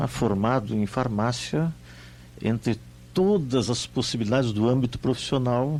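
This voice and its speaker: A man speaks at a fairly slow pace with lively intonation. His is a plain, everyday voice. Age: 60s. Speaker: homeopathic pharmacist. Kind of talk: radio interview.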